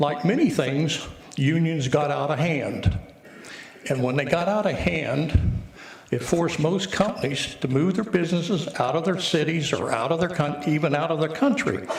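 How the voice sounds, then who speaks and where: A man with a fairly high voice and ordinary pitch variation talks at a moderate pace, with audible room echo and noticeable background noise around him. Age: 80s+. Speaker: resident speaking at public comment. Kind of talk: public comment at council meeting. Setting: city council meeting.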